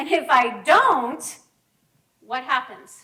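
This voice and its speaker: Raised and projected, a woman's voice sounds bright and sharp with a high pitch. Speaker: counselor giving a talk. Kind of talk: presentation to a group.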